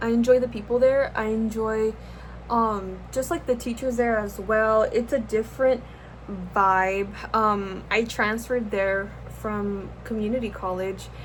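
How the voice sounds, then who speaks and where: Fairly high in pitch and somewhat breathy, a woman with a Californian accent speaks at a fairly slow pace with fairly even intonation. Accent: Californian American English. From US West Coast, Los Angeles. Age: 20s. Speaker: YouTuber, art student. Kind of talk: casual chat while doing makeup. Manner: casual, rambling with fillers.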